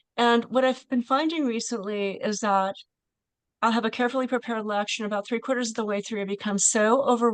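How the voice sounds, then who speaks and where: Over a quiet background, a woman talks very fast at a fairly high pitch. Her intonation stays fairly even. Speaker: college math teacher. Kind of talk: Q&A discussion. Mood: thoughtful, earnest. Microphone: video call.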